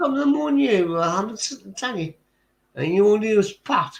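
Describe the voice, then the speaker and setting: This man has a strong Geordie accent. He talks at a fairly slow pace. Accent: thick Geordie. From northern England, Tyneside. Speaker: livestream chat participant. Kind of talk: casual chat.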